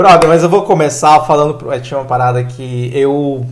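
Over noticeable background noise, the speech carries ordinary pitch variation. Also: man. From Brazil, Pará (Transamazônica region). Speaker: podcast host. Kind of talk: casual chat.

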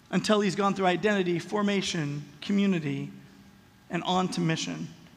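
With an American accent, a man talks at a moderate pace with ordinary pitch variation, and audible room echo surrounds him. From Los Angeles, US West Coast. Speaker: pastor. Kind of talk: sermon. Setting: church.

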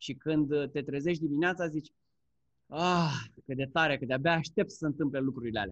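This is a plain, everyday voice at a fairly quick pace. Its pitch varies in an ordinary way. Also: man, fairly high pitch for a man. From Romania. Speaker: Amazon seller and course instructor. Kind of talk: casual interview chat.

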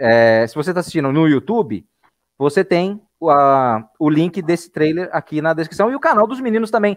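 A man talks with very wide swings in pitch. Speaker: school podcast host. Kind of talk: casual live video chat.

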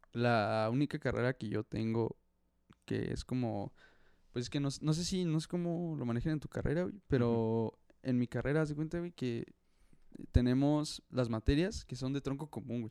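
Here a man speaks in a dark, mellow tone at a moderate pace. The sound is dry and close, with no echo. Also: medium pitch for a man, ordinary pitch variation. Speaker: university student. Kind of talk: casual chat.

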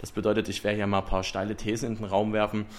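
A man is talking. His pace is very fast. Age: 20s. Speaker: podcast host, business student. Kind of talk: casual podcast introduction.

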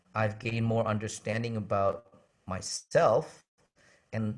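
A man speaks at a fairly slow pace, his medium-pitched voice somewhat breathy, with an Indonesian-American accent. The recording is very clean, with a silent background. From Indonesia, moved to the US as a boy. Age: 40s. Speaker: worship pastor and songwriter. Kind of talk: interview conversation.

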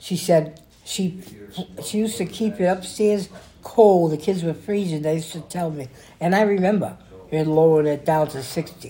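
Her voice is fairly low and somewhat breathy, with a dark, mellow tone. The woman keeps a moderate pace and ordinary pitch variation. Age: 70s. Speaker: grandmother being interviewed by family. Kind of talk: casual family interview. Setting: recorded at home with family. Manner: halting, rambling.

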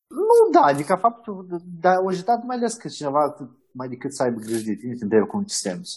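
At a fairly quick pace, a man talks in a high pitch with very wide pitch swings and big swings in loudness. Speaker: digital media manager. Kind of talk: interview. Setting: video call.

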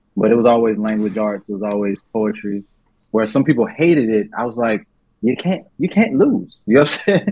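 A man talks at a fairly quick pace with a medium pitch and ordinary pitch variation. His is an unremarkable speaking voice. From US South, born in New Orleans. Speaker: rapper, songwriter, producer. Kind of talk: casual chat.

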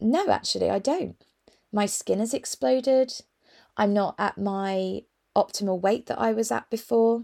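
A woman speaks at a moderate pace and medium pitch, with ordinary pitch variation and a dark, mellow tone. The sound is dry and close, with no echo. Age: 40s. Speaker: wellbeing coach and podcast host. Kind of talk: solo podcast monologue. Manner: casual, warm and enthusiastic.

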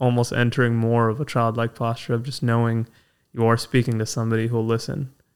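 A man's intonation stays monotone and flat as he talks at a moderate speed. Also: very clean recording, silent background. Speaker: podcast host. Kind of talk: casual chat. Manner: halting.

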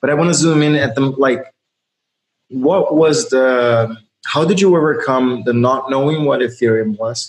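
A man talks at a moderate pace with ordinary pitch variation and medium pitch. He has a plain, everyday voice. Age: 30s. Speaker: podcast host. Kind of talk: casual chat.

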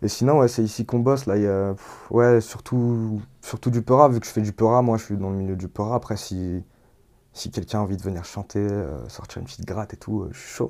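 Fairly quick and fairly low in pitch, a man speaks in a dark, mellow tone with ordinary pitch variation. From Lyon area, France (Villeurbanne). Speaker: rapper and sound engineer. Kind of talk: interview. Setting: home studio. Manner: casual, hesitant with fillers.

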